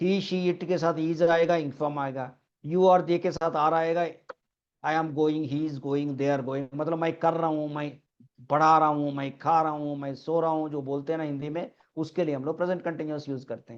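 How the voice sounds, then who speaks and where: At a moderate pace, a man speaks at a fairly high pitch with monotone, flat intonation. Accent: Telangana. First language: Telugu (speaking Hindi). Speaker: English teacher. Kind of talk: online class lecture.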